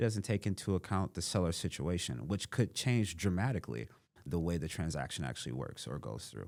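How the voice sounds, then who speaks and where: In a very clean recording with a silent background, a man with a very deep, low pitch and vocal fry speaks at a fairly quick pace, his pitch swinging very widely. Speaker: real estate investor. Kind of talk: podcast interview.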